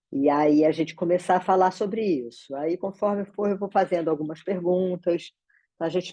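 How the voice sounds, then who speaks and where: A woman talks at a moderate pace with fairly even intonation. She has a normal speaking voice. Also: dry, close sound with no echo. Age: 60s. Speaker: meeting facilitator. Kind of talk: online meeting moderation. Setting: video call from home office.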